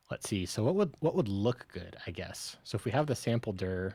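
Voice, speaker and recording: A soft-spoken man's fairly low voice, with ordinary pitch variation and a moderate pace. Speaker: software developer streamer. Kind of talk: live-coding stream. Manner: quiet, soft-spoken; halting, thinking aloud.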